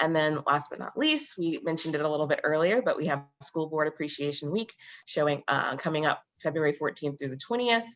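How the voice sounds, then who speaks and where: A woman's very deep, low voice at a fairly quick pace. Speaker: school district staff presenter. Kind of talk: meeting announcements. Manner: fast.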